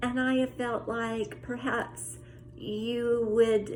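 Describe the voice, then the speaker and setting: A woman talks very slowly, with audible room echo around her. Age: 60s. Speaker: self-help video host. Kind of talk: reading aloud; personal testimony.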